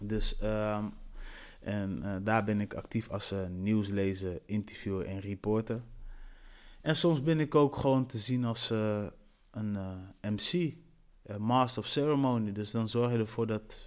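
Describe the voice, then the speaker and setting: On a very clean recording with a silent background, a man with a fairly low pitch and ordinary pitch variation speaks at a very slow pace with long, frequent pauses. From Netherlands, Antillean roots. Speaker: radio presenter and event host. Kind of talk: solo podcast monologue. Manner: animated.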